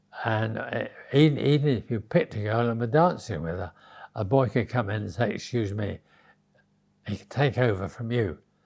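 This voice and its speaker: A man with an English accent uses lively intonation. The recording is very clean, with a silent background. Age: 90s. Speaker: interviewee recalling his youth. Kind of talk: interview storytelling. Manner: halting.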